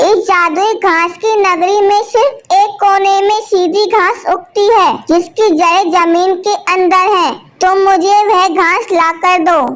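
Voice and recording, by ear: A female-sounding cartoonish character voice at an extremely high pitch moves at a fairly slow pace with hardly any pauses.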